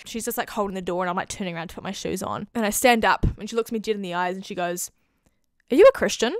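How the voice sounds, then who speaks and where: With a New Zealand accent and an animated tone, the voice races at a very fast pace, showing ordinary pitch variation and big swings in loudness, in a dry sound with no echo over a quiet background. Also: woman. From New Zealand, Auckland. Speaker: YouTuber. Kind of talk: testimony. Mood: warm, animated, sincere. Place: home room. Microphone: handheld.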